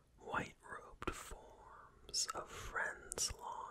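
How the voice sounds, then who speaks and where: A man whispering. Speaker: ASMR creator. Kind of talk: poetry reading. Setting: close binaural microphone. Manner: whispered; soft-spoken, slow.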